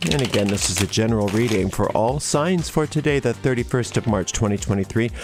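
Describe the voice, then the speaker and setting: A man with an American accent, medium pitch and ordinary pitch variation, at a very fast pace over noticeable background noise. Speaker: tarot reader. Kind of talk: live-streamed tarot reading. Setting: live stream.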